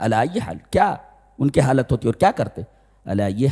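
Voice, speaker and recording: A man's medium-pitched voice has a dark, mellow tone, vocal fry, and very wide pitch swings, with a dry, close sound with no echo. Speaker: Islamic scholar giving a Quran commentary lecture. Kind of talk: religious sermon, tafseer lecture.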